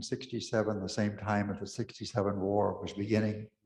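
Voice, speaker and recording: A man with a West Texas accent and a fairly low pitch talks at a fairly quick pace amid audible room echo. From West Texas (Pecos). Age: 80s+. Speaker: Episcopal priest. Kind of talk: talk to an audience.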